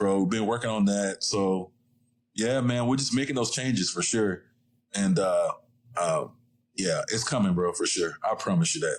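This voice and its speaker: A man with a slight Southern US accent speaks at a moderate pace. He leaves long, frequent pauses. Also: very even loudness. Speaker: photographer and studio owner. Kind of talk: casual chat.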